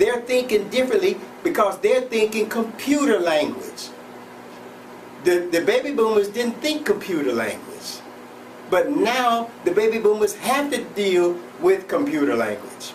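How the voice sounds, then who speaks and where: A man's high-pitched voice with lively intonation at a fairly slow pace, with audible room echo and noticeable background noise. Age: 70s. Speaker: self-help show host. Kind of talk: motivational monologue. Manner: halting, repetitive.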